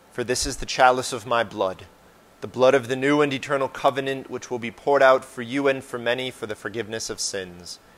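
His pace is fairly quick. The man's intonation is fairly even. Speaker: parish priest. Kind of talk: fervent intercessory prayer, solemn and heartfelt. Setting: parish church, livestreamed Mass. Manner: earnest, fervent, pleading tone. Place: church.

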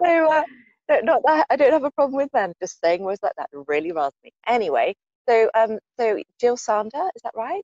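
A woman with a British accent and high pitch speaks at a fairly quick pace with very wide pitch swings, in dry sound with no echo against a quiet background. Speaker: podcast host and coach; podcast host, coach. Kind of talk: interview. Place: garden. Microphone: earbuds.

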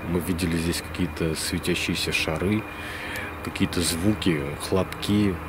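Noticeable background noise surrounds a man who talks at a moderate pace. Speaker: paranormal channel host. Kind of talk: casual vlog chat. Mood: hushed, slightly tense. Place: open country. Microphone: phone near.

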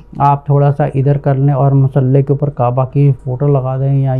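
Faint music plays in the background as a man speaks in a monotone, flat intonation. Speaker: religious teacher. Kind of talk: religious lecture. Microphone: lapel.

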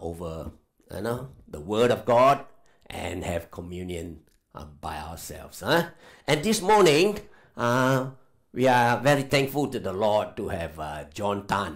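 Against a quiet background, a man speaks at a very slow pace with very wide pitch swings. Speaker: speaker. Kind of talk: church welcome and introduction. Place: church. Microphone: headset.

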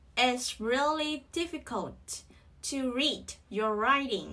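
In a Vietnamese accent, the raised, projected voice moves at a very slow pace with a bright, sharp tone and ordinary pitch variation. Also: woman. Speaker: English pronunciation teacher. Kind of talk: tutorial. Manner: slow, repetitive drilling.

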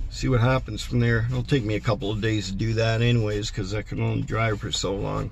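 The speaker is a man, and the recording is dry with no echo. There is light noise behind him. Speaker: van traveller vlogger. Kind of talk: casual vlog chat. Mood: relaxed, laughing a little. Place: car. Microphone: phone near.

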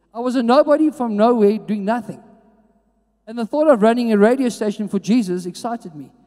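The speech moves at a fairly quick pace with an animated tone. The background is quiet. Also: man. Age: 40s. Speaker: youth pastor / preacher. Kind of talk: sermon. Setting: church with live audience. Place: hall. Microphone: handheld.

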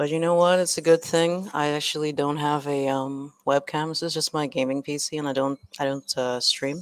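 Her voice is very deep and low, with monotone, flat intonation. The woman keeps a moderate pace with hardly any pauses. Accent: American. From Trinidad. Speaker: exam prep teacher and YouTuber. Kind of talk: live online lesson.

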